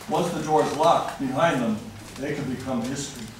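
A man talks at a moderate speed, his voice carrying audible room echo amid noticeable background noise. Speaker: resident at public comment. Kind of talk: public comment speech. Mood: critical, earnest. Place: hall.

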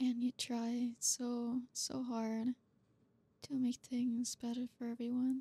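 A woman speaks very slowly at a high pitch, her intonation monotone and flat and her tone dark and mellow. The sound is dry and close, with no echo. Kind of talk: asmr roleplay. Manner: tsundere: sharp, sarcastic and bratty, then softening into flustered sincerity.

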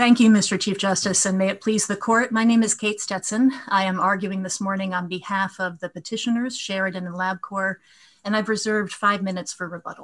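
A somewhat breathy woman's voice at a fairly quick pace, with fairly even intonation over a quiet background. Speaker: appellate lawyer. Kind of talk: oral legal argument. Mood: formal, measured. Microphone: video call.

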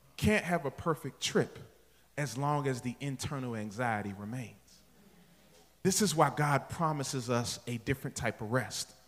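With an animated tone and lively intonation, a man speaks at a moderate pace. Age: 40s. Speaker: pastor. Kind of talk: sermon. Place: church. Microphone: handheld.

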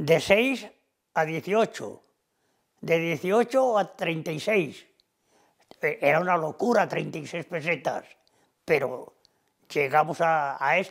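Against a quiet background, a man with a high voice speaks very slowly with lively intonation and long, frequent pauses. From Cantabria, Spain (Tagle, Suances); Cantabria. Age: 80s+. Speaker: retired factory worker and cattle farmer. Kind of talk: oral history interview. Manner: halting with repetitions. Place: home room.

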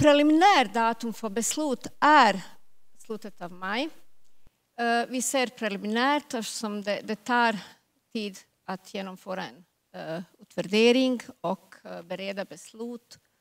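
The speaker moves at a fairly slow pace with ordinary pitch variation and long, frequent pauses. Loudness swings widely against a quiet background. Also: woman, fairly high pitch for a woman. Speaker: government agency officer; presenter. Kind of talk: panel Q&A. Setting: stage with audience. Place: hall. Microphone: handheld.

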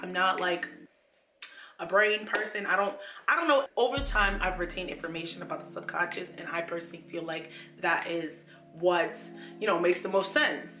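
A woman speaks in an upbeat tone with long, frequent pauses. There is audible room echo and clear music in the background. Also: ordinary pitch variation, fairly quick pace. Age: 20s. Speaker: lifestyle YouTuber. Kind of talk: casual talk to camera. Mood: earnest, motivational. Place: home room.

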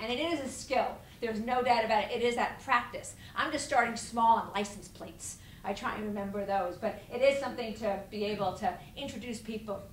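Speaking at a fairly quick pace, a woman with a fairly high pitch and ordinary pitch variation is heard over light background noise with audible room echo. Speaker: etiquette consultant and lecturer. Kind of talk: seminar lecture. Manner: humorous, storytelling.

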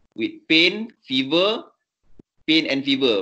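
A man's bright, sharp, fairly high voice with a Malaysian accent and ordinary pitch variation over a quiet background. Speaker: vascular surgeon. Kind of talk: teaching session. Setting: video call. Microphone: video call.

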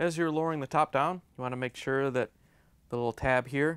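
Fairly quick male speech with ordinary pitch variation. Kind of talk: tutorial. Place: studio.

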